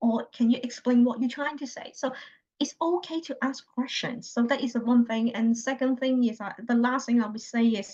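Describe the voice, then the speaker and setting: At a moderate pace, a woman with a Chinese accent speaks at a high pitch in a dark, mellow tone with fairly even intonation. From China. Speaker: healthcare analytics consultant. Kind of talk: interview. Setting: video call. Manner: halting, with many repetitions.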